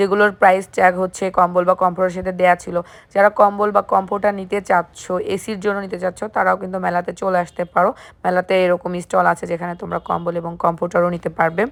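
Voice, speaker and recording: A woman speaks at a medium pitch in a flat monotone, on a very clean recording with a silent background. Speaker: YouTube vlogger. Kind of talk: shopping vlog walkthrough. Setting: trade fair, walking among stalls.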